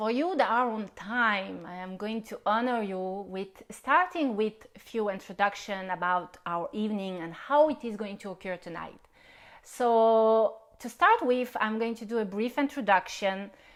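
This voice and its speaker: Speaking with a non-native accent at a fairly slow pace, the voice has lively intonation and big swings in loudness. The recording is very clean, with a silent background. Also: woman, fairly high pitch for a woman. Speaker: spiritual healer. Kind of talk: live-stream workshop introduction. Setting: Facebook live stream.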